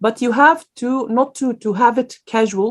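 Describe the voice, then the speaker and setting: A woman speaks with an Arabic accent. Her pace is fairly slow. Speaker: guest speaker on careers. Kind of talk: lecture Q&A. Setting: online event. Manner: hesitant, many fillers.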